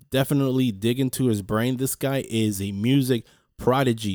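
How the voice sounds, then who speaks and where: Speaking at a moderate pace, a man has an unremarkable speaking voice at medium pitch, recorded dry and close with no echo. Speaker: podcast host. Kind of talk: solo motivational podcast talk. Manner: casual, chatty.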